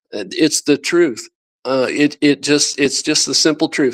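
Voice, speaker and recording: The voice belongs to a man. The sound is dry and close, without any echo. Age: 60s. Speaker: interview guest sharing health experience. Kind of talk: radio interview. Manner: halting, many restarts.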